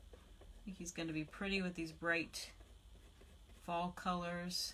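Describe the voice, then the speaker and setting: A woman speaks quietly at a fairly slow pace, her tone relaxed yet bright and sharp. Her intonation is monotone and flat. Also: big swings in loudness. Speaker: craft demonstrator and independent product designer. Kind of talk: live-stream craft tutorial. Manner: relaxed, with frequent fillers.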